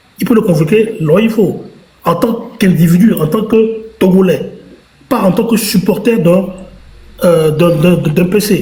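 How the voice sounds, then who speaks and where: At a fairly slow pace, a man with a high pitch speaks with ordinary pitch variation, very even loudness and long, frequent pauses, amid audible room echo and noticeable background noise. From Togo. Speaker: political commentator. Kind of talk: live stream debate.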